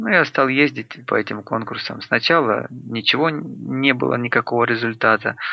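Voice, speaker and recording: Speaking at a moderate pace with hardly any pauses, a man uses a medium pitch, ordinary pitch variation and vocal fry. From Luhansk, eastern Ukraine. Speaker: singer-songwriter. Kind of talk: interview.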